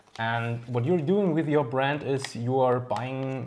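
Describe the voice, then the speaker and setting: A man with a German accent talks at a fairly slow pace over noticeable background noise. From Germany. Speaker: RC hobby video host. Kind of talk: casual interview. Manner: halting.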